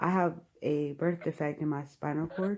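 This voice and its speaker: Very deep and low in pitch, a woman speaks at a moderate pace with fairly even intonation. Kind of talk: casual phone conversation.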